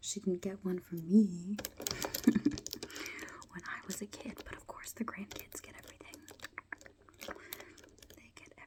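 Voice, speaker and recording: Whispering in a gentle tone at a fairly slow pace, a woman leaves long, frequent pauses, her loudness swinging widely against noticeable background noise. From United Kingdom. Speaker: ASMR creator. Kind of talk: ASMR soft-spoken talk to camera. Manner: soft-spoken, gentle.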